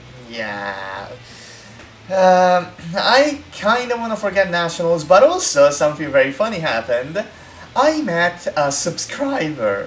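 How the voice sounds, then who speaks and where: Speech comes at a fairly slow pace with an Italian accent. Noticeable background noise sits behind it. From Italy. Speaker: gaming content creator. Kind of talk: casual chat. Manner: halting.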